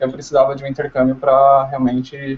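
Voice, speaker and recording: The pace here is moderate. It's a normal speaking voice. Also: man. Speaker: tourism student. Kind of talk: interview. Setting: video call.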